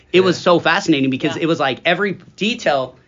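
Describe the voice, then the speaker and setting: This man talks at a very fast pace, his pitch fairly high. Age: 40s. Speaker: school podcast host, staff member. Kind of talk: casual chat.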